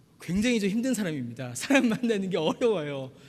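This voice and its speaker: A man's high-pitched voice at a fairly quick pace, with very wide pitch swings and audible room echo. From Busan, South Korea. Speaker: pastor. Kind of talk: sermon.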